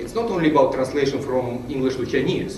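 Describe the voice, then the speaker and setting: A man with a Ukrainian accent at a very fast pace with ordinary pitch variation, with audible room echo and noticeable background noise. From Ukraine. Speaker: conference speaker. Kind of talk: conference presentation.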